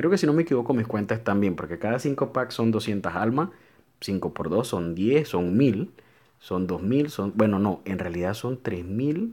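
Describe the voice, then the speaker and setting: A man talks at a fairly slow pace. His fairly low voice has lively intonation. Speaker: gaming YouTuber. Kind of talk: casual gameplay commentary. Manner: informal and chatty.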